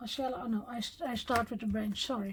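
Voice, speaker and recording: Somewhat breathy, this woman's fairly high voice shows ordinary pitch variation. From Netherlands. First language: Dutch. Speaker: card-making crafter. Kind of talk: tutorial. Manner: halting, with fillers.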